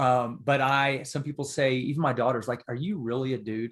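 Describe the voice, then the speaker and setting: A man talks in an unremarkable speaking voice with an American accent, medium pitch and fairly even intonation. His pace is fairly slow, and the recording is very clean with a silent background. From Texas. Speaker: author and father. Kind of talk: podcast interview.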